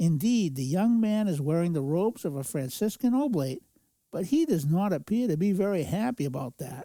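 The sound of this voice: The intonation here is lively, in an unforced reading voice. All is quiet behind it.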